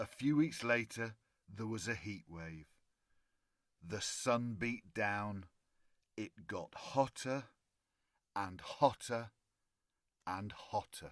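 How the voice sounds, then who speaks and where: Loudness swings widely as the speaker goes at a very slow pace with long, frequent pauses and ordinary pitch variation. The voice carries a British accent. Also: man, medium pitch for a man. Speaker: storyteller. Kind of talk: children's bedtime story reading.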